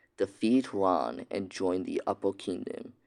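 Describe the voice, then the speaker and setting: Quiet and very slow, a man speaks. The recording is very clean, with a silent background. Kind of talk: fantasy story reading. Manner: quiet, hushed; stammering, hesitant.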